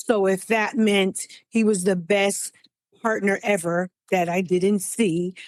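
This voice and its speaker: A woman talks fairly slowly in a normal speaking voice, at a medium pitch with fairly even intonation. The recording is very clean with a silent background, and the sound is dry and close with no echo. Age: 60s. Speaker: scam victim. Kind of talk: interview testimony.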